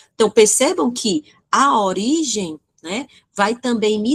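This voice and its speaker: With a Brazilian accent, a woman speaks at a fairly slow pace, somewhat breathy and with lively intonation, in a dry, close sound with no echo. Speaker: teacher. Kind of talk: online lecture. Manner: halting, with many fillers.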